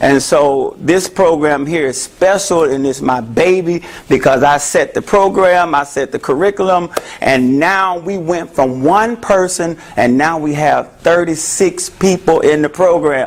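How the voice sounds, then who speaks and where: Over noticeable background noise, a man with a Memphis accent speaks loud at a fairly slow pace, his high pitch showing ordinary pitch variation. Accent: Southern US (Memphis). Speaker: therapist. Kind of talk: talk to an audience. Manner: animated.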